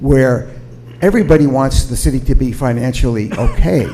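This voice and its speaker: A man talks with lively intonation, his voice carrying audible room echo over noticeable background noise. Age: 70s. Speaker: retired ambulance service provider, public commenter. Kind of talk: public comment at city council meeting. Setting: city council meeting. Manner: halting.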